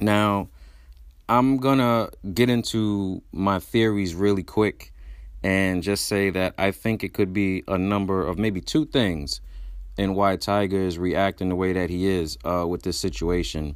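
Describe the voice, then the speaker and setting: A man with an American accent and a very deep, low pitch, normal pitch movement, and a fairly slow pace, on a very clean recording with a silent background. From Brooklyn, New York (Brownsville). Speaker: podcast host. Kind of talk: casual monologue commentary.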